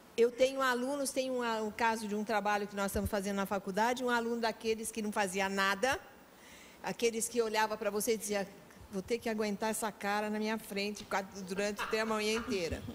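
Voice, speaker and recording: Her voice fairly high and her intonation monotone and flat, a woman talks at a fairly quick pace. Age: 70s. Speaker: veteran teacher. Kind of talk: talk show interview.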